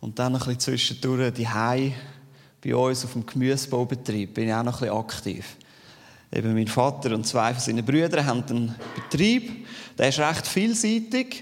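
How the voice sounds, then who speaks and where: At a moderate pace and medium pitch, a man speaks in a Zurich accent with ordinary pitch variation, and audible room echo is present. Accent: Swiss German (Zürich). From Switzerland, Zürich Unterland. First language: Swiss German (speaking German). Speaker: lay preacher. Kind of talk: sermon.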